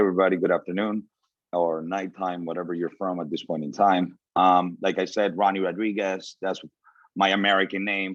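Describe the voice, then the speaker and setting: A man speaks at a fairly quick pace with a Spanish accent. His very deep, low voice stays monotone and flat while his loudness swings widely. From Venezuela. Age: 30s. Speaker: motivational speaker. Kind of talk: motivational talk.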